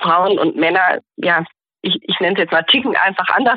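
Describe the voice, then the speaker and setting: She has a plain, everyday voice at a medium pitch. The woman's intonation is lively. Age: 30s. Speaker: junior doctor in general practice training. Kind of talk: interview.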